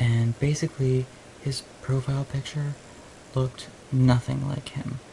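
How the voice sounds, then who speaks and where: Quiet and at a fairly slow pace, a man at medium pitch speaks with monotone, flat intonation, long, frequent pauses and noticeable background noise. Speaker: video blogger. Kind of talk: casual chat.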